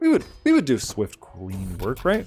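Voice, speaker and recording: A man speaks over music in the background. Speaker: gaming YouTuber. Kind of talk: casual gameplay commentary.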